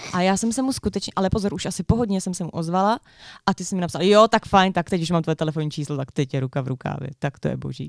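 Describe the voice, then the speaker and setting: Very fast and full of lively intonation, a woman's fairly low voice comes through dry and close with no echo on a very clean recording with a silent background. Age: 20s. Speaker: podcast co-host. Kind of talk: casual chat.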